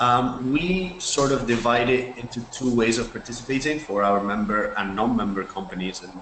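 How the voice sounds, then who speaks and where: A man speaks at a moderate pace with a medium pitch. Noticeable background noise and audible room echo surround him. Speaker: NGO representative. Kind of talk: webinar presentation. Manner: hesitant, many fillers.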